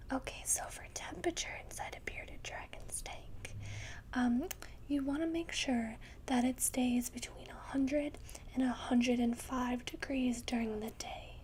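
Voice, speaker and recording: A soft-spoken voice talks at a fairly slow pace. Noticeable background noise runs underneath. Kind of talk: ASMR pet store roleplay, soft-spoken informative talk.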